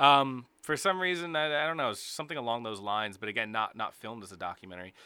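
A man with a bright, sharp tone speaks at a very fast pace with very wide pitch swings. The recording is very clean, with a silent background. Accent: American. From New Jersey. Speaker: podcast host, screenwriter. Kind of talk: casual chat. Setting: studio.

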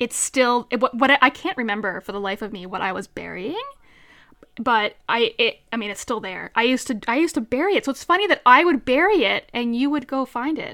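Speaking in a Newfoundland accent, a woman with a high pitch talks at a fairly quick pace with lively intonation. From Newfoundland, Canada (central). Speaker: podcast co-host, model and mental health coach. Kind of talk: casual chat.

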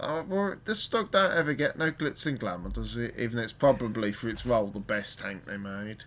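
With a Birmingham accent, a man speaks with very wide pitch swings and hardly any pauses. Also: medium pitch for a man, fairly quick pace. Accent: Birmingham (West Midlands). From Birmingham, England. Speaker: podcast host. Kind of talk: casual chat. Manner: informal, jokey.

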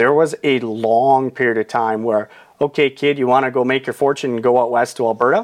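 Against a quiet background, a man with a Canadian Prairies accent and a medium pitch speaks at a fairly quick pace with fairly even intonation. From Saskatchewan, Canada. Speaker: real estate agent. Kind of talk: casual interview. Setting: studio.

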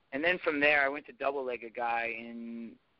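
At a moderate pace, a man talks in an unremarkable speaking voice. His pitch is medium, with ordinary pitch variation. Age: 30s. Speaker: former cage fighter and strength coach. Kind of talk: casual chat.

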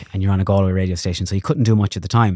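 A man's very deep, low voice with a dark, mellow tone and an Irish accent, on a very clean recording with a silent background. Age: 30s. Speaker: radio presenter and influencer. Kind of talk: casual chat.

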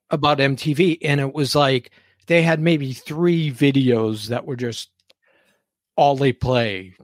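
A man at a fairly high pitch and fairly slow pace, an ordinary speaking voice, dry and close with no echo on a very clean recording with a silent background. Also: ordinary pitch variation. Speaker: podcast host. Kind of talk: casual chat. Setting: studio.

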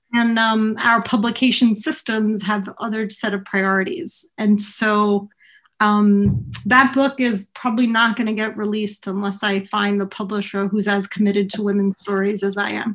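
With music in the background, a woman speaks at a moderate pace and medium pitch, using fairly even intonation and hardly any pauses. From Italy (from age 10), born in US. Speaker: community radio podcaster and sociologist. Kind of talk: casual interview.

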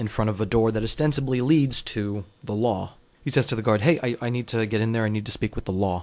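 A voice reading aloud in a natural voice

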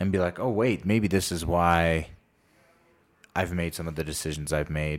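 A man with a very deep, low voice and ordinary pitch variation. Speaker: podcast host. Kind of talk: casual chat. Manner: halting.

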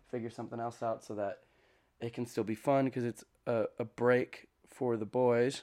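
The recording is very clean, with a silent background. The pace of speech is fairly slow. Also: man. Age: 20s. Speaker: podcast host. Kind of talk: casual solo monologue. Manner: rambling, hesitant with fillers.

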